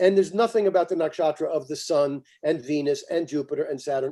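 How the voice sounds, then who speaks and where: This man's voice sits high in pitch, with a dark, mellow tone. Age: 70s. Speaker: astrologer. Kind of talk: interview.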